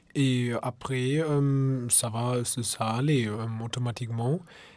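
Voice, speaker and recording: At a very slow pace, a man of medium pitch with a German accent talks with fairly even intonation. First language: German (speaking French). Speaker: student radio journalist. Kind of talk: radio interview. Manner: halting, many fillers.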